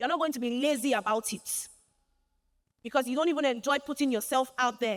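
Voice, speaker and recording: The tone is animated. Pitch moves in an ordinary way. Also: woman. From Nigeria, Lagos. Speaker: fashion designer and keynote speaker. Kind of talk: keynote speech. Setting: church conference stage with audience.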